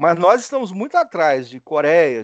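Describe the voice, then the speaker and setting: A high-pitched man talks at a moderate pace. The sound is dry and close with no echo, over a quiet background. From Brazil, Espírito Santo (small town). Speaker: animal science professor and scientist. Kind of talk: interview. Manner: hesitant, repeats words.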